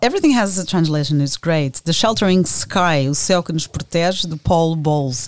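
This woman talks in a Portuguese accent at a fairly low pitch. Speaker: podcast host. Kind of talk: interview conversation.

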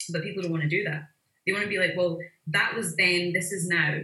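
Speaking with a Glaswegian accent, a woman uses fairly even intonation and a fairly low pitch for a woman. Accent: Glaswegian Scottish. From Glasgow, Scotland. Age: 30s. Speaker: visual artist. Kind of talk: casual interview conversation.

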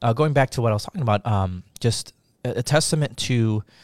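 On a very clean recording with a silent background, a man talks at a fairly quick pace. His medium-pitched voice has lively intonation and an American accent.

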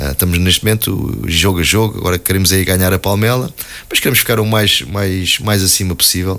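A man speaks with a very deep, low pitch and a bright, sharp tone, his pitch varying in an ordinary way and his loudness very even. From Portugal, Alverca (Lisbon area). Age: 40s. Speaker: football coach, former player. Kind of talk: radio interview. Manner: hesitant, many fillers and repetitions.

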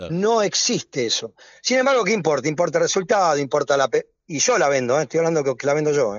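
A man talks at a very fast pace in a fairly high voice. His pitch swings very widely. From Argentina, Avellaneda (Greater Buenos Aires). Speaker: sports goods businessman. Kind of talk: radio interview. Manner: halting, repeats words.

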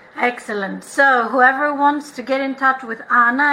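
A woman speaks at a high pitch in a raised, projected voice. Her pace is fairly slow. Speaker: podcast host. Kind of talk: casual interview chat.

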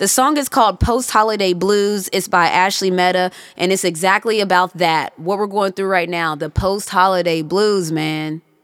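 On a very clean recording with a silent background, a woman with an unremarkable speaking voice talks at a moderate pace with hardly any pauses, medium in pitch and ordinary in pitch variation. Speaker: podcast host. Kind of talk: casual chat.

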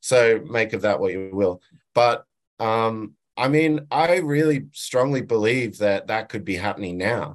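Over a quiet background, a man with an Australian accent speaks at a medium pitch and fairly slow pace, his intonation lively. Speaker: sound engineer. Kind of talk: interview. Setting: video call. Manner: halting, many fillers.

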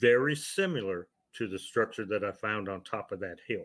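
A man with an American accent speaks at a moderate pace in a plain, everyday voice, his fairly low pitch showing ordinary variation on a very clean recording with a silent background. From Ohio. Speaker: author and paranormal investigator. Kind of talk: interview storytelling.

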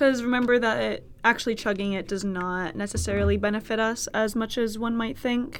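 Talking at a fairly quick pace with hardly any pauses, a woman with a Californian accent uses a fairly high pitch and fairly even intonation. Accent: Californian American. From US West Coast, Berkeley, California (Bay Area). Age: 20s. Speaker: podcast host, college student. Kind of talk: casual solo monologue. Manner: casual, chatty with fillers.

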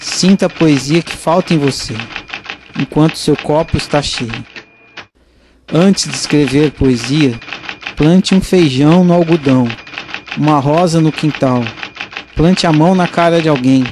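Fairly slow speech, with long and frequent pauses, plays out against noticeable background noise. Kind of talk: poet spoken word, performed poem of repeated imperatives. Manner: measured, rhythmic, incantatory, with a refrain-like delivery.

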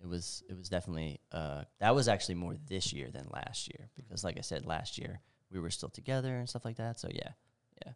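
With a very deep, low pitch and very wide pitch swings, a man speaks at a fairly quick pace. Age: 30s. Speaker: warehouse worker, podcast guest. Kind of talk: casual chat.

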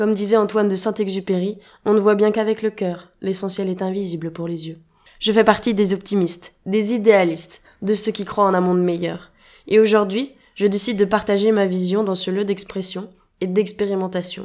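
In a medium pitch, a woman talks at a moderate pace with monotone, flat intonation. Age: 20s. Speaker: podcast host. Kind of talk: podcast monologue.

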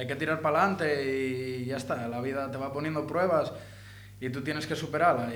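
A man's medium-pitched voice amid noticeable background noise and audible room echo. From Asturias, Langreo. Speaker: rapper. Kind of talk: casual interview. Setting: radio studio.

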